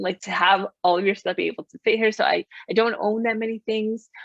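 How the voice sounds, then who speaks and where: In an unremarkable speaking voice, a woman talks at a medium pitch and a fairly quick pace with ordinary pitch variation, in a dry, close sound with no echo. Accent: American. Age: 40s. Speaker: life coach. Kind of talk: interview.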